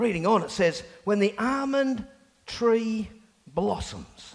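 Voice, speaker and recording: A man talks fairly slowly as noticeable background noise carries on around him. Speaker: pastor. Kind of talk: sermon. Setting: church. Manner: loud.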